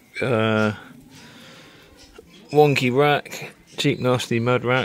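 A man speaks at a medium pitch. His pace is very slow.

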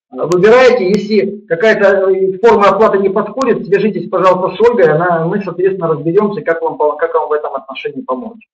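Amid audible room echo, a man with a high pitch talks at a fairly quick pace with hardly any pauses. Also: ordinary pitch variation. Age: 50s. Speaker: yoga teacher; webinar host, practice teacher. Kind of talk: webinar lecture; sales pitch. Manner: halting, with many repetitions. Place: home room. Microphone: webcam.

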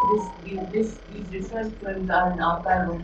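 A woman speaks at a fairly slow pace with fairly even intonation amid noticeable background noise. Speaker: speaker. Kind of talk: formal introduction. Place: hall.

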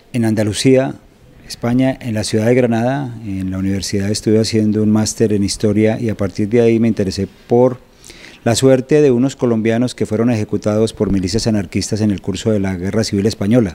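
The speech moves at a fairly quick pace. Its intonation is fairly even. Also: man, fairly low pitch for a man. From Colombia, Bogotá. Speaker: journalist and novelist; journalist. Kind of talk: interview. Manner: hesitant with fillers. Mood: calm, engaged explanation. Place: studio. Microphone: handheld.

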